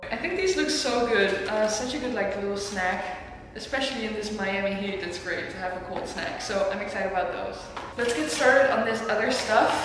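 Amid noticeable background noise and strong room echo, a woman talks at a fairly quick pace with ordinary pitch variation. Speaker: vlogger. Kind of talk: casual vlog chat. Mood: cheerful, excited. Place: kitchen. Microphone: camera far.

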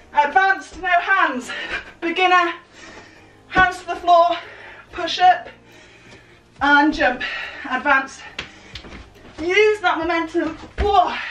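Speaking at a very slow pace with long, frequent pauses, a woman with an extremely high pitch is heard amid light background noise and audible room echo. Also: ordinary pitch variation. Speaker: fitness instructor. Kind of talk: workout instruction. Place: home room. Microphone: camera far.

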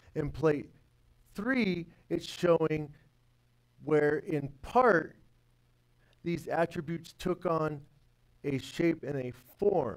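Against a quiet background, a man speaks at a very slow pace with ordinary pitch variation. He leaves long, frequent pauses. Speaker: workshop teacher. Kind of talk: religious lecture; lecture. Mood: earnest, devotional. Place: classroom.

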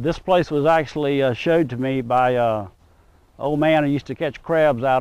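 A man talks at a fairly quick pace with fairly even intonation, and the sound is dry with no echo. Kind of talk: interview answer. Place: waterside.

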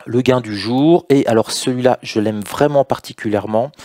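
With a dark, mellow tone, a man speaks with ordinary pitch variation against a quiet background in a dry, echo-free sound. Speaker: trading educator. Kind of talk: tutorial. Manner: talkative. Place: home room. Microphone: headset.

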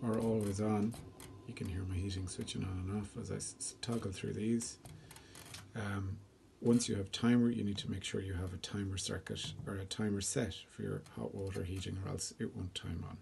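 With noticeable noise behind it, the speech goes at a moderate pace broken by long, frequent pauses. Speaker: homeowner demonstrating controller. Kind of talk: tutorial. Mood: calm, explanatory. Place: home room. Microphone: phone near.

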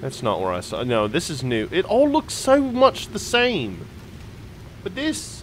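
Noticeable background noise sits under this recording. A man talks through it at a fairly slow pace. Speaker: video game streamer. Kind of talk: casual gameplay commentary. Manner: animated, jokey.

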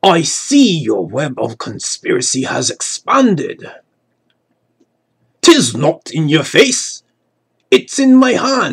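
Using a put-on character voice pitched high, a man speaks at a very slow pace with long, frequent pauses. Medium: solo performance.

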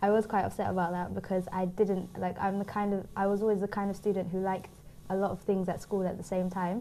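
In a London accent, a woman talks at a medium pitch and a very fast pace. Her intonation is monotone and flat. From London, England. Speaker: youth worker and graduate. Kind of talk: studio interview. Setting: TV studio.

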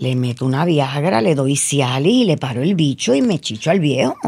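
A woman keeps a moderate pace and ordinary pitch variation, with a quiet background behind her. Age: 60s. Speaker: media personality; interview guest. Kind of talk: casual chat. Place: studio. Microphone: studio mic.

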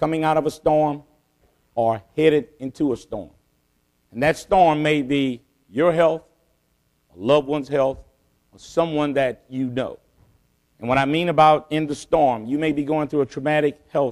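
Long, frequent pauses break up speech delivered at a moderate pace. Intonation stays fairly even, and the background is quiet. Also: man. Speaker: keynote speaker. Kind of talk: keynote speech. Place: hall. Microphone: podium.

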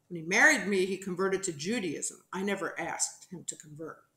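A woman with an American accent talks at a fairly quick pace. Her pitch is fairly low, and audible room echo fills the recording. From New Jersey. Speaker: television producer; interview guest. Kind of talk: interview testimony. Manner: animated. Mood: earnest, reflective. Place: home room.

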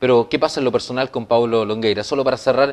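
Here a man talks at a very fast pace with fairly even intonation. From Chile. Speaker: TV news presenter. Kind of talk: TV interview. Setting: TV studio. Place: studio. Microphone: lapel.

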